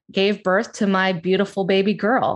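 A woman with an American accent and a medium pitch, at a fairly slow pace, over a quiet background. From US Northeast, South Jersey near Philadelphia. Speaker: astrologer and life coach. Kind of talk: casual interview chat. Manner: animated, laughing.

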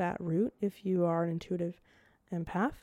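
A woman's voice has a dark, mellow tone. The sound is dry and close, with no echo. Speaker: podcast host. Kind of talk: casual solo monologue. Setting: home recording setup, video. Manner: rambling, many fillers.

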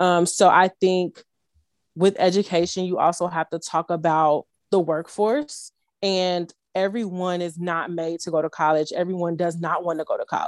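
A woman with an American accent and a plain, everyday voice, at a fairly low pitch and moderate pace, with fairly even intonation, recorded dry and close with no echo, very clean, with a silent background. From Chicago, South Side. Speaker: nonprofit founder. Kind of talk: casual chat.

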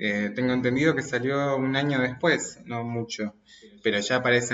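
Amid noticeable background noise, a man talks at a medium pitch. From Argentina, Mendoza. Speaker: podcast guest, friend of host. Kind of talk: casual chat.

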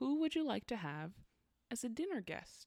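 The voice has an animated tone, and its pitch swings very widely. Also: woman. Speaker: podcast co-host. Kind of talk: casual chat. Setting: home studio recording. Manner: animated, laughs often.

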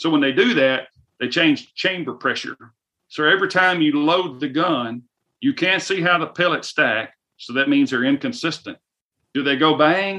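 Lively intonation marks this man's bright, sharp voice, pitched fairly high, in a Southern US accent. He speaks at a moderate pace. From US South. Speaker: firearms company representative. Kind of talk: casual interview.

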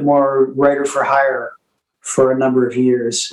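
A man with a fairly high pitch speaks at a moderate pace. He has a plain, everyday voice. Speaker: singer-songwriter. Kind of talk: interview.

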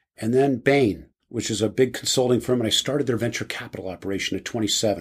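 A man with an American accent has a normal speaking voice at medium pitch, with ordinary pitch variation. He keeps a moderate pace, and the recording is very clean with a silent background. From New Jersey, US. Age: 60s. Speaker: business executive and board member. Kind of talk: casual interview.

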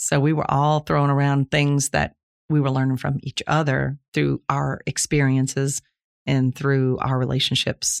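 A woman with a very deep, low pitch speaks at a fairly slow pace in monotone, flat intonation. Her loudness is very even, and the sound is dry and close with no echo. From Louisiana, Plaquemines Parish. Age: 60s. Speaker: retired Air Force veteran, host's mother. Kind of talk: casual family interview chat.

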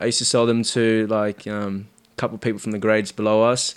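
Here a man talks in an Australian accent. His pitch sits at a medium level. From Sydney, Australia (Marrickville, Cabramatta). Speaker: bar manager. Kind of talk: casual chat.

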